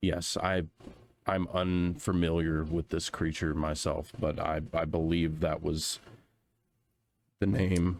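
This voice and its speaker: Putting on a character voice, a man sounds raspy and very deep, delivering flat, monotone lines at a fairly slow pace and very even loudness. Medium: actual play. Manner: hesitant, halting.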